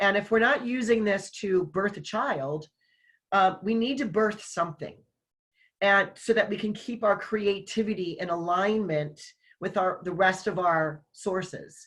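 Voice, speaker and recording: A woman with a normal speaking voice and medium pitch talks at a fairly slow pace with ordinary pitch variation. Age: 60s. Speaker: online summit host and business owner. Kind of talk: casual conversation.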